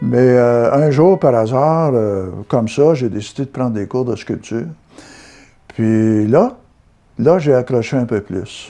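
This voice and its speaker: This man's voice has a medium pitch and a dark, mellow tone, with ordinary pitch variation. He talks at a very slow pace, leaving long, frequent pauses. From Quebec, Gatineau (Hull), Outaouais. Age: 70s. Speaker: amateur sculptor. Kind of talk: interview testimony. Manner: halting, with fillers.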